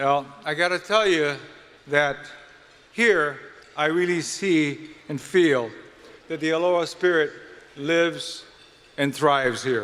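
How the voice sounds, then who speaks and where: With a Hawaiian accent, the speaker moves at a very slow pace with long, frequent pauses and ordinary pitch variation. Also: man, fairly high pitch for a man. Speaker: event emcee. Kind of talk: formal event speech.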